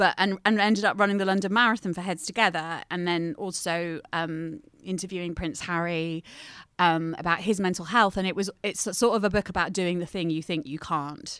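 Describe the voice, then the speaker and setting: A woman with an unremarkable speaking voice and a fairly low pitch talks at a fairly quick pace with fairly even intonation. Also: very clean recording, silent background. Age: 30s. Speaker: journalist and mental health campaigner. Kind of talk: casual chat.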